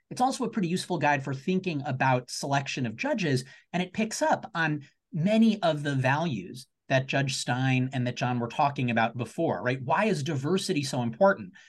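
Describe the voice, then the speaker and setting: Over a quiet background, a man with a fairly high pitch and a somewhat breathy voice speaks with lively intonation. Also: fairly quick pace. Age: 30s. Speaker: law professor. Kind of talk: panel discussion. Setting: video call.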